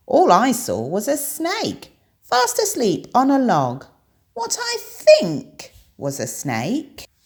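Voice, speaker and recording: A put-on character voice, fairly high in pitch, delivers its lines at a very slow pace. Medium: read story. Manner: squawking.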